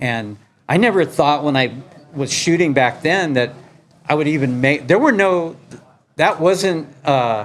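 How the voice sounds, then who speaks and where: A man speaks at a fairly slow pace with lively intonation. His pitch sits fairly high. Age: 60s. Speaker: skateboard photographer. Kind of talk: public talk with Q&A. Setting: skate shop talk with audience. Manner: casual, halting with fillers.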